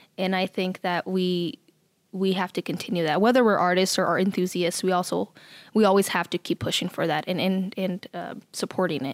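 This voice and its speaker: At a fairly quick pace, a woman uses a normal speaking voice with a medium pitch and fairly even intonation, recorded very cleanly with a silent background and a dry, close sound with no echo. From Nebraska, US Midwest. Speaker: artist and arts council worker. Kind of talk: casual interview chat. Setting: studio.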